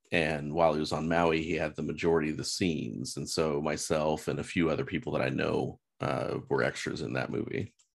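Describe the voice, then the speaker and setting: A man's very deep, low voice with vocal fry, a fairly quick pace and ordinary pitch variation. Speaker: real estate agent. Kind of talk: casual chat.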